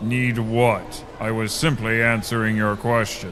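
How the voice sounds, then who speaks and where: Amid clear background noise, a man does a put-on character voice at medium pitch and a fairly slow pace. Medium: audio drama. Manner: deadpan, literal, formal without contractions.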